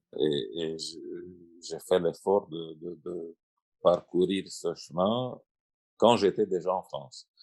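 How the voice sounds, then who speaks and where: A man with a Russian accent, speaking at a very slow pace. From Romania or Moldova, Russian mother and Romanian father. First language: Russian (speaking French). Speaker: translator and writer. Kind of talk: panel discussion. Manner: halting, many repetitions.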